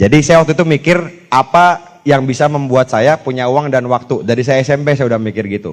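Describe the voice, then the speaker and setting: Hardly any pauses break up a man's very fast speech. His medium-pitched voice shows ordinary pitch variation. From Jakarta, Indonesia. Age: 30s. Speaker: motivational speaker, network marketing leader. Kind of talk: motivational talk to live audience. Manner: casual, conversational.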